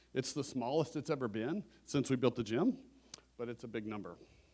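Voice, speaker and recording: Medium pitch and a fairly quick pace from a male speaker. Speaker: church finance team chair. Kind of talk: church finance presentation. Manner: fast.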